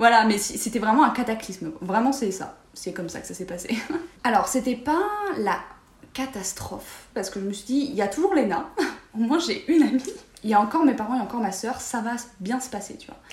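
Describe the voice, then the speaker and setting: A woman with lively intonation, plus audible room echo and noticeable background noise. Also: fairly high pitch for a woman, fairly quick pace. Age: 20s. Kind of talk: casual chat.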